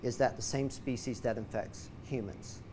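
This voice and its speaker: A man talks at a moderate pace, with light background noise present. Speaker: science educator. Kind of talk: lecture. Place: classroom. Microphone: lapel.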